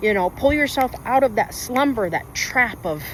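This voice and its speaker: A woman speaks with a high pitch, an animated tone and lively intonation at a fairly quick pace over noticeable background noise. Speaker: lifestyle vlogger. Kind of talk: casual vlog monologue. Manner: fast.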